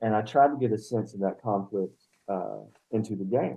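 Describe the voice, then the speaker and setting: Ordinary pitch variation marks this moderate-paced speech with an Appalachian accent. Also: man. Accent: Appalachian accent, embraced again. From Western North Carolina, Appalachia. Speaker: poet, professor and game designer. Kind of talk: casual interview chat.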